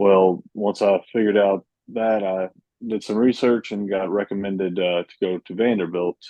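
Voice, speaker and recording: With monotone, flat intonation, a man speaks at a fairly low pitch and a moderate pace. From Western Kentucky. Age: 20s. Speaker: accessibility tech community representative. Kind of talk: podcast interview.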